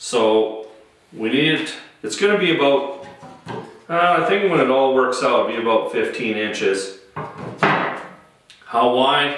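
Audible room echo around a man's very slow delivery. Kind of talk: tutorial. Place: workshop.

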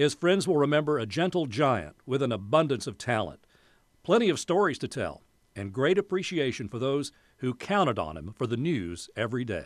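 A man's voice makes very wide pitch swings with vocal fry. The sound is dry with no echo. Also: moderate pace, quiet background. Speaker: television news anchor. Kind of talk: news tribute narration. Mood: somber, respectful.

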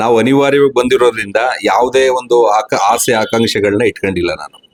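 The sound is dry and close, without any echo. It is a man talking. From Karnataka, Mysore district (K R Nagara taluk). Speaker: businessman and local party leader. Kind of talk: TV interview. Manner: halting.

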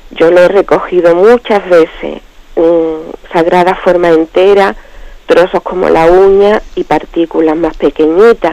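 A woman with a fairly low voice talks fairly slowly and with fairly even intonation over noticeable background noise. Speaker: radio caller. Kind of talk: question on a call-in show. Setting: phone call.

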